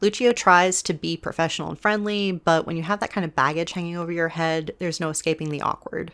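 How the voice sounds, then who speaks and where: On a very clean, silent recording, a woman rattles along at a very fast pace with hardly any pauses, her fairly low voice showing ordinary pitch variation. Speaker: book commentary youtuber. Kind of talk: video essay monologue. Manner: soft, not projecting.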